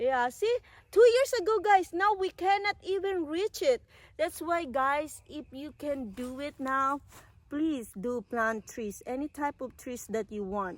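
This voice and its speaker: Speaking with a Filipino accent, a woman uses a high pitch with very wide pitch swings and big swings in loudness at a fairly slow pace. The sound is dry and close, with no echo. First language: Tagalog. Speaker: vlogger. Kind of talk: casual chat. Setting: outdoors. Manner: halting.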